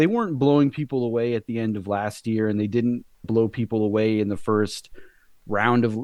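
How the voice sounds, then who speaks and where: At a moderate pace, a man talks in an ordinary speaking voice. His pitch is medium and his intonation fairly even. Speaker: podcast co-host. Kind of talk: podcast discussion.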